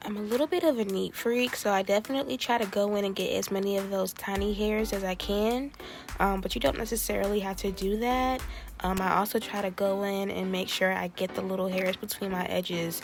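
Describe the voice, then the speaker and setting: A woman speaks with an American accent at a medium pitch. She keeps a fairly quick pace with ordinary pitch variation. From Maryland. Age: 20s. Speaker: beauty YouTuber. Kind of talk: casual tutorial talk to camera.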